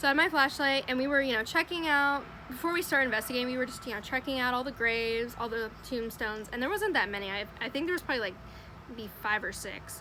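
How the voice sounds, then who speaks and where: A woman talks at a very fast pace in a raised, projected voice with a high pitch. Her tone is animated and her intonation lively. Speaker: storytelling vlogger. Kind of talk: casual storytime monologue. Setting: outdoors. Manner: loud.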